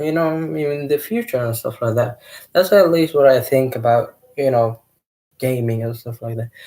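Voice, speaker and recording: With a non-native accent, a man speaks at medium pitch. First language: not English. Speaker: gaming youtuber. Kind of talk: casual vlog monologue. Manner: hesitant, many fillers.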